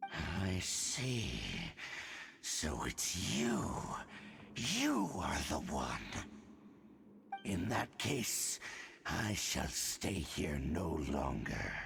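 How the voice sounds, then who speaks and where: In a put-on character voice, a man growls at a very deep, low pitch, speaking at a very slow pace with long, frequent pauses over light background noise. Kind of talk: solemn, formal villain speech. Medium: video game. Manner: cold, grave, superior.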